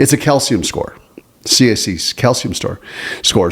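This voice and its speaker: A man's medium-pitched voice at a moderate pace. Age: 60s. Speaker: podcast co-host. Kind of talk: casual chat. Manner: halting.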